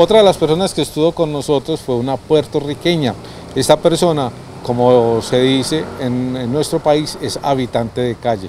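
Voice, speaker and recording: Light background noise sits behind a man speaking at a moderate pace. His pitch varies in an ordinary way, and the sound is dry with no echo. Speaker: TV program host. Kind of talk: presenting, introducing segments. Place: street. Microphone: handheld.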